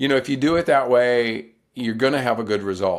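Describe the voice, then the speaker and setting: An unremarkable speaking voice from a man, pitched in the middle, with ordinary pitch variation. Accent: American. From US South, North Carolina. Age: 60s. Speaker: ultrarunner and author. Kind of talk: podcast interview.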